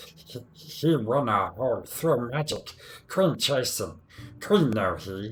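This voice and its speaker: Using a put-on character voice, a man at medium pitch speaks at a fairly slow pace. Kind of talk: broken speech, speaks in third person. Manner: silly.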